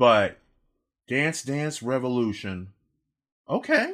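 A man speaks with a bright, sharp tone and ordinary pitch variation. The recording is very clean, with a silent background. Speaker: gaming podcast co-host. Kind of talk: casual chat. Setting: home office. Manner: loud.

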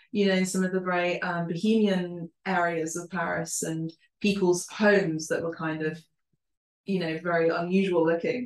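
Speaking with a London accent, a woman keeps a medium pitch, a moderate pace, and fairly even intonation. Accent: British English, London. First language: Spanish and Italian. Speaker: podcast host. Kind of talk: casual interview.

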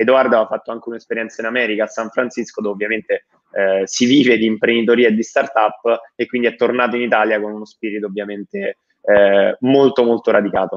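A man with a medium pitch speaks very fast. His intonation stays fairly even. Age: 20s. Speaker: startup founder. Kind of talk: interview.

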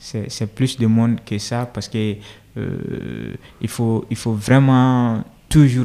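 A dark, mellow tone at a very slow pace with fairly even intonation. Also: man. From rural Mali. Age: 20s. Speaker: NGO project manager. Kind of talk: interview.

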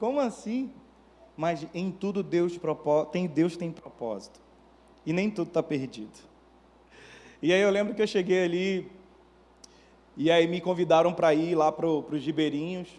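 A man with a high voice and long, frequent pauses. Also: ordinary pitch variation, moderate pace. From Manaus, Brazil. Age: 30s. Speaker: pastor. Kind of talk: sermon.

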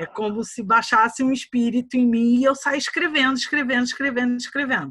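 A woman's high pitch and bright, sharp tone, at a fairly quick pace with ordinary pitch variation. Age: 40s. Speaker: writer. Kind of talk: casual chat.

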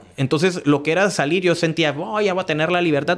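A man is speaking. His pitch is high. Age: 30s. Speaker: business owner. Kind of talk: casual interview.

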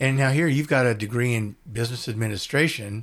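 This very clean recording has a silent background. A man with an American accent uses an ordinary speaking voice and fairly even intonation. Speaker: podcast host. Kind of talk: interview, casual chat.

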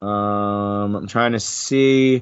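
An American accent comes through here. The voice belongs to a man. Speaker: podcast host and wrestling commentator. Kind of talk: casual chat. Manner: animated.

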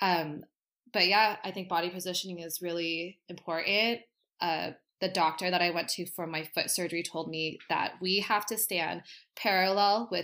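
A woman's fairly low, bright, sharp voice with a Californian accent, fairly even intonation and a moderate pace, on a very clean recording with a silent background. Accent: Californian American. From Southern California, Costa Mesa. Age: 20s. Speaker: hairdresser. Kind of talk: casual chat.

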